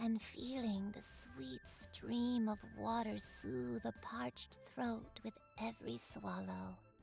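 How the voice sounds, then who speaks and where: Clear music plays in the background as someone speaks fairly slowly in a put-on character voice. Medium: video game. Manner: soft, poetic, peaceful.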